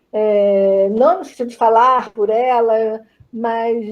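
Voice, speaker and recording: The woman speaks at a high pitch. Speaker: social work professor. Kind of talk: academic lecture. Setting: video call.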